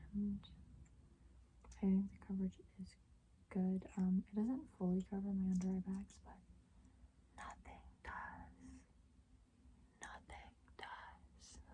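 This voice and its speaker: A woman talks at a very slow pace with long, frequent pauses. Her loudness swings widely. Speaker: asmr youtuber. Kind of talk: asmr haul, soft spoken whisper. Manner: soft-spoken, whispering.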